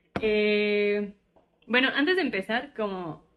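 Very slowly, a woman talks in a fairly high voice. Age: 20s. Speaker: podcast co-host. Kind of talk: casual chat.

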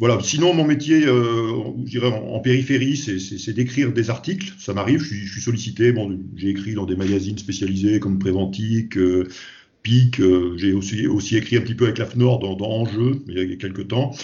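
In a room with audible echo, a man with a fairly low, somewhat breathy voice speaks at a moderate pace with ordinary pitch variation. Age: 50s. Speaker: safety consultant. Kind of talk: interview. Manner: halting, many repetitions.

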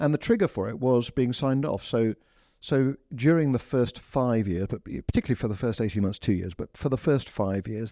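Against a quiet background, a man's dark, mellow tone comes through with a dry, close sound and no echo. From England and India. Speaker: bishop. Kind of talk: interview. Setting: studio. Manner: hesitant, many fillers and repetitions.

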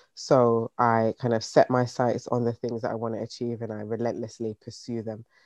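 A man's medium-pitched voice with a British accent, flat and monotone, in a dry, close sound with no echo. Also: moderate pace. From UK, Jamaican heritage. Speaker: business founder. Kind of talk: interview. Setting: video call.

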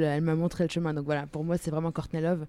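A woman's voice with a dark, mellow tone and fairly low pitch. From Germany. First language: German (speaking French). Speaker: musician. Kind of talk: casual chat.

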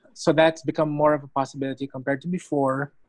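A man's fairly high voice at a moderate pace, with monotone, flat intonation. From Philippines. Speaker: comic book artist. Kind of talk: interview. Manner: halting, repeats words.

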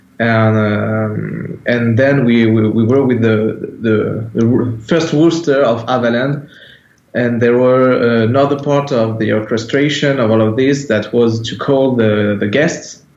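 The speech moves at a fairly slow pace with fairly even intonation, and there is audible echo from the room. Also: man, medium pitch for a man. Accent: French. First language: French. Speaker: metal band founder and musician. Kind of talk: interview. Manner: halting, hesitant non-native English.

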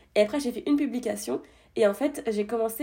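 A woman with a fairly high pitch and a dark, mellow tone talks at a very fast pace, her pitch varying in an ordinary way. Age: 20s. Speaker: debut novelist and escape game staffer. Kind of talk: casual interview chat.

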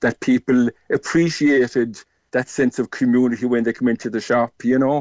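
A man with a Cork accent at medium pitch and a fairly quick pace. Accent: Cork Irish. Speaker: shop owner. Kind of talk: radio interview.

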